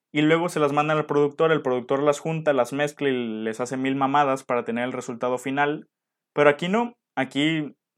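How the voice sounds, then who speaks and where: A man with a Mexican accent, a fairly high pitch, ordinary pitch variation and a fairly quick pace. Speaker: podcast co-host. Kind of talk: casual chat. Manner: animated.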